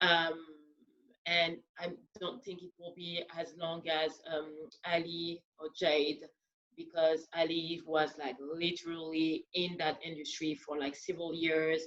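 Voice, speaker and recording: Speaking with a strong French accent, a woman talks at a fairly slow pace and fairly low pitch, her intonation monotone and flat while her loudness swings widely. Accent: thick French. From France. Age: 30s. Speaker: dancer and podcast host. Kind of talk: panel discussion.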